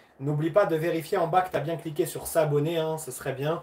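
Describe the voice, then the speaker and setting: A fairly high-pitched man at a fairly quick pace, with noticeable background noise. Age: 30s. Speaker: karate athlete and livestream host. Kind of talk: livestream Q&A chat. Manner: animated.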